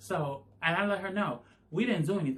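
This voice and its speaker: Here a man speaks in an animated tone. His intonation is lively. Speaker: YouTuber. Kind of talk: storytime monologue.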